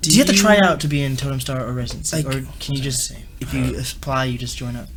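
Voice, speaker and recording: Noticeable background noise sits under the recording. Over it, a man rushes through his words at a very fast pace. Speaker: DJ and podcast host. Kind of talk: podcast interview questions.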